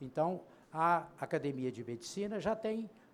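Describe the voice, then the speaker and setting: Speaking at a fairly slow pace, a man with a high-pitched voice uses lively intonation. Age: 80s+. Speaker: panel moderator, physician. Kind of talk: conference panel introduction. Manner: halting, with filler hesitations.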